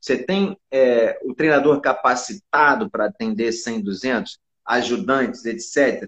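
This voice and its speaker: A man at a medium pitch, talking at a very slow pace with very wide pitch swings. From Brazil, Rio de Janeiro. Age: 40s. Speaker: basketball coach. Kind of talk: casual interview chat. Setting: online live stream.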